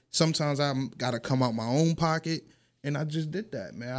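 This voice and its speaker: This man's voice sits fairly high in pitch. He speaks at a fairly quick pace. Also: very clean recording, silent background. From New York. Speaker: rapper and radio host. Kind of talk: casual interview.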